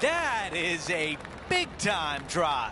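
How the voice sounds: Over clear music in the background, a man uses a put-on character voice at a fairly high pitch, speaking at a very slow pace with very wide pitch swings.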